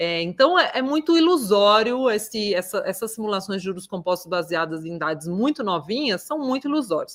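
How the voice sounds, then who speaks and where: Talking at a fairly quick pace with hardly any pauses, a woman with a medium-pitched voice makes very wide pitch swings. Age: 30s. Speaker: financial educator. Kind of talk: online class. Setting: livestream.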